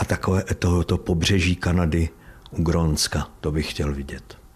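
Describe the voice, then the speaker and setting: A man is speaking. His pace is very slow. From East Bohemia, Czech Republic (Trutnov, Vysoké Mýto). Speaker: stage actor. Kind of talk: casual interview. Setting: actor's dressing room at theatre.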